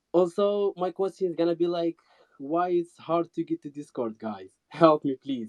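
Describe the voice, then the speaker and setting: A man with a non-native accent speaks at a moderate pace and a high pitch, with ordinary pitch variation. The sound is dry and close, with no echo. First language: not English. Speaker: fashion designer, audience member. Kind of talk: question in a live audio chat.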